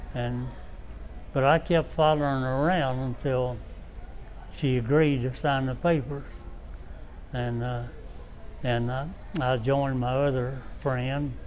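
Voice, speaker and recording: In an Appalachian accent, a speaker goes at a fairly slow pace with monotone, flat intonation and long, frequent pauses, with audible room echo. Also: man, medium pitch for a man. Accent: Appalachian Southern US. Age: 90s. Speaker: war veteran. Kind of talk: interview. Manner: halting.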